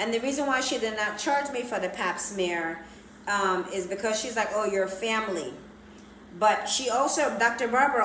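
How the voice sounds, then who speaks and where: A woman speaks with fairly high pitch and lively intonation. Noticeable background noise and audible room echo are in the recording. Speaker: plastic surgery vlogger. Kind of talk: casual chat. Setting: Instagram live stream. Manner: loud.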